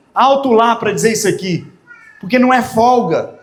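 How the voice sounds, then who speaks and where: A man in an animated tone, with audible room echo and noticeable background noise. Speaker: pastor. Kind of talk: sermon.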